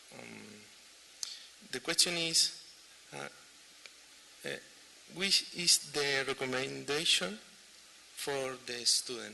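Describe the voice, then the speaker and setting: A man speaks with a Chilean accent. Noticeable background noise runs under his voice. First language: Spanish. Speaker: audience member asking question. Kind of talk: audience question. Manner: halting.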